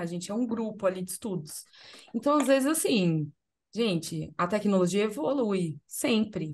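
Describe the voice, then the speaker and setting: A woman, somewhat breathy, talks at a moderate speed with lively intonation. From Brazil, São Paulo. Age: 40s. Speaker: podcast host and content creator; podcast host, content creator. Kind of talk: casual chat. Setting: video podcast recording. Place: home room. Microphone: video call.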